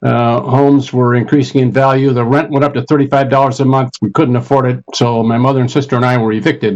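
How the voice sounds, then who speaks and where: Very fast and with hardly any pauses, a man with an Upper Midwest accent speaks at medium pitch, his intonation fairly even and his loudness very even. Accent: Upper Midwest American. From Minnesota, Minneapolis. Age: 70s. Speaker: retired college administrator. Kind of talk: panel discussion. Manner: halting.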